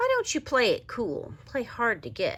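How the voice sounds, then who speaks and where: A female-sounding voice rumbles through a put-on character voice. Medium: read story. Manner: grumbling, weary.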